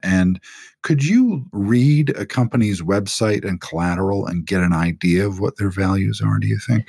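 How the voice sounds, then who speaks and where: Man's voice, fairly low in pitch, with a dark, mellow tone. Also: ordinary pitch variation, moderate pace, very clean recording, silent background. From UK. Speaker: podcast host. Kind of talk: interview conversation.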